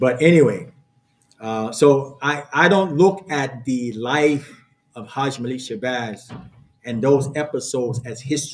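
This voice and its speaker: In an American accent, the speaker goes at a fairly slow pace with ordinary pitch variation and big swings in loudness, and the room echo is audible. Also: man, medium pitch for a man. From born North Carolina, grew up New York and New Jersey. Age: 60s. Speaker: imam. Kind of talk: lecture. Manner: halting, many fillers.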